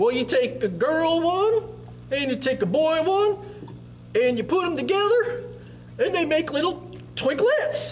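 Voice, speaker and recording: A high-pitched put-on character voice at a moderate pace, with long, frequent pauses and clear background noise. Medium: comedy sketch. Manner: folksy, drawling, deadpan.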